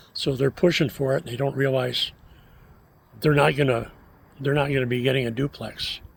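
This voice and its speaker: A somewhat breathy male voice at medium pitch, with fairly even intonation. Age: 70s. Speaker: vlogger and city council member. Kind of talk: casual vlog monologue. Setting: outdoors by a fire pit. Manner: hesitant, many filler words.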